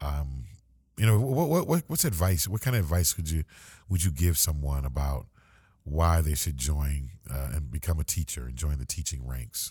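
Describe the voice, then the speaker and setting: A man's very deep, low voice, dark and mellow in tone and somewhat breathy, with ordinary pitch variation at a moderate pace on a very clean recording with a silent background. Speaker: podcast host for a school district. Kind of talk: casual interview chat. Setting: podcast studio. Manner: halting, many fillers.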